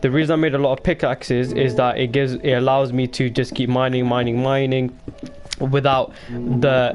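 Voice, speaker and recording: Over music in the background, a man speaks at a medium pitch and a moderate pace. His intonation is monotone and flat. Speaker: gaming livestreamer. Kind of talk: gameplay livestream commentary.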